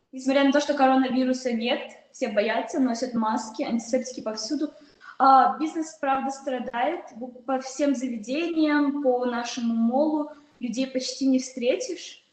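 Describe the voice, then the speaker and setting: Over audible room echo, a woman with a high pitch speaks at a fairly slow pace and with fairly even intonation. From Tajikistan. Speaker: panelist. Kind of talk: panel discussion. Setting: video call. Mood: calm, concerned. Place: office. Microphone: video call.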